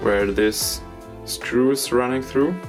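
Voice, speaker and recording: Music plays in the background. Over it, a man talks with lively intonation. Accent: non-native. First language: not English. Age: 20s. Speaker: knifemaker. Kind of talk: workshop tutorial talk to camera.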